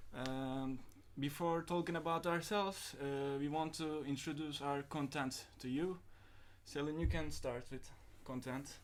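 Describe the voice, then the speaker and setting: A man speaks at a fairly slow pace with a fairly high pitch and fairly even intonation. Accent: Turkish. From Turkey (Antalya). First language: Turkish. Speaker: podcast host. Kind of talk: casual chat. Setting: live stream.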